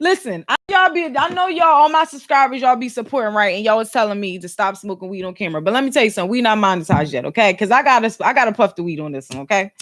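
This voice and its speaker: A woman talks in an animated tone at a very fast pace with hardly any pauses, big swings in loudness and very wide pitch swings. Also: fairly high pitch for a woman. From Philadelphia, US. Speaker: YouTuber and podcast host. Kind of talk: casual chat.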